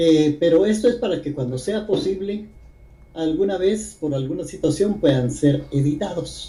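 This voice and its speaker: Audible room echo surrounds a man speaking at a high pitch with ordinary pitch variation and a fairly slow pace. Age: 80s+. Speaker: poet. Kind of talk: interview conversation.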